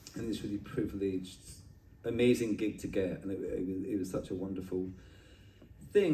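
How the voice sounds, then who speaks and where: A man speaks at a fairly quick pace with a dark, mellow, somewhat breathy tone. Room echo is audible. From Scotland, Edinburgh. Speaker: artist. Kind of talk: casual interview conversation. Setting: at a street art festival. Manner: animated, with frequent filler and restarts.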